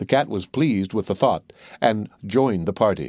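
In a plain, everyday voice, a man speaks at a moderate pace with lively intonation. The recording is very clean, with a silent background. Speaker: audiobook narrator. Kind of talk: bedtime storytelling, scripted fairy-tale narration read aloud.

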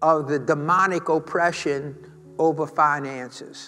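A man's voice over faint background music. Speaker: pastor. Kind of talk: sermon. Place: church.

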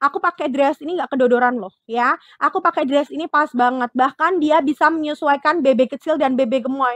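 Over a quiet background and in a dry sound with no echo, a woman talks at a fairly quick pace with hardly any pauses, her high pitch showing ordinary variation. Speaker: live-selling fashion seller. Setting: online live selling stream. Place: shop. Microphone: lapel.

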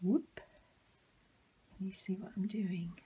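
Somewhat breathy, a woman speaks at a moderate pace and medium pitch in a dark, mellow tone. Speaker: librarian. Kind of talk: children's craft tutorial. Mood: cheerful, gentle. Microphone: phone near.

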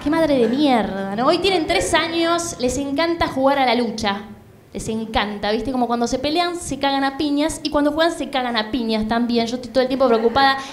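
Over light background noise, a woman speaks at a high pitch and a fairly quick pace with ordinary pitch variation. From Buenos Aires, Argentina. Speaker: stand-up comedian. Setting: stage with audience, comedy club. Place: stage. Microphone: handheld.

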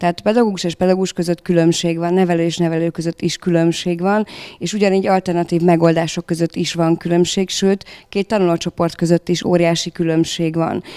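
A woman's fairly quick speech over a quiet background. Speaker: school leader. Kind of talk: panel discussion. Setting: stage with audience. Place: meeting room. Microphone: handheld.

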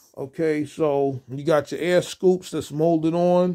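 Against a quiet background, a man speaks with a dark, mellow tone at a fairly slow pace and with fairly even intonation. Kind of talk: casual product review. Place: home room. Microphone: phone near.

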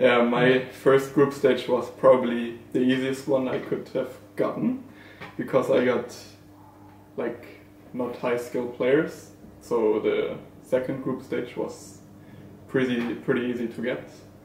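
A man with a German accent and medium pitch, fairly slow with long, frequent pauses and monotone, flat intonation, amid noticeable background noise and audible room echo. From Germany. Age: young. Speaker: esports player. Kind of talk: casual chat.

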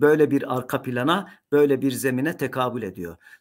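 The man talks at a fairly slow pace. Behind him the background is quiet. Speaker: professor of Islamic theology; university professor. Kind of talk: lecture. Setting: recorded talk to camera. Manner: frequent hesitation fillers. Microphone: webcam.

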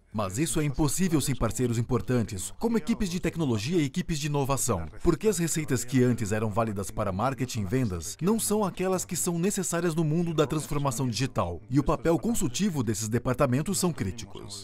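The voice is somewhat breathy, with very wide pitch swings and a fairly quick pace. There are hardly any pauses, and light background noise sits underneath. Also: man, medium pitch for a man. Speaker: voice actor. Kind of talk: corporate narration. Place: studio. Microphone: studio mic. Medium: dub.

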